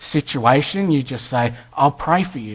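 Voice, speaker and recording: Speaking at a fairly slow pace, a man with an Australian accent has a fairly high pitch. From Western Australia. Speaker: guest preacher. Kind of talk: sermon.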